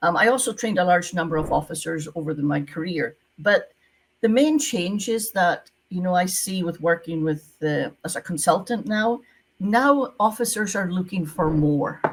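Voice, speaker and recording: A woman with a Scottish accent speaks at a medium pitch, her voice somewhat breathy. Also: moderate pace. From Scotland. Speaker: retired visa officer, visa consultant. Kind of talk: interview.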